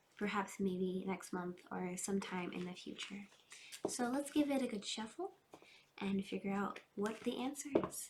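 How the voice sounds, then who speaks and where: A woman talks at a medium pitch with ordinary pitch variation. Noticeable background noise can be heard. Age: 20s. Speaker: tarot reader. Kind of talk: tarot reading. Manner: slow, calm.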